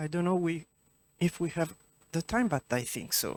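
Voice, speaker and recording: The speaker has an Italian accent. The recording is very clean, with a silent background. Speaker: event moderator and interpreter. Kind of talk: audience Q&A moderation. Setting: cinema with audience.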